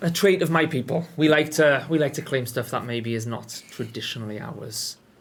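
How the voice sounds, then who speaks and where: A somewhat breathy voice with a British accent. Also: man, fairly high pitch for a man, ordinary pitch variation, moderate pace. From northeast England, Sunderland. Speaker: game studio community host. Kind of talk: casual livestream chat.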